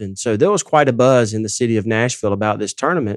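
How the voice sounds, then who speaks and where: A man talks at a very fast pace with a Southern US accent. The background is quiet. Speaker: ministry president and founder. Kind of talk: casual chat. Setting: studio.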